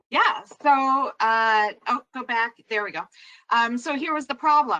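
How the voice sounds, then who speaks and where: A woman with a New York accent speaks at a fairly slow pace and a high pitch, her tone bright and sharp, the sound dry and close with no echo. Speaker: social worker. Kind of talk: webinar presentation.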